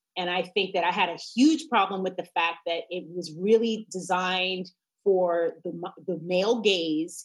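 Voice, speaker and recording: A woman with an American accent talks fairly slowly in a normal speaking voice. Her pitch is medium, with ordinary variation. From New York. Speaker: attorney and mother. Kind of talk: casual chat.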